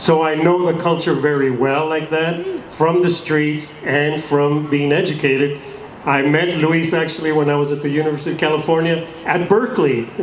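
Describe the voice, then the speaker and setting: A man with a fairly high pitch and fairly even intonation keeps a moderate pace amid audible room echo and noticeable background noise. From US-Mexico border. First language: Spanish. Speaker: actor. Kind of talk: panel discussion with audience.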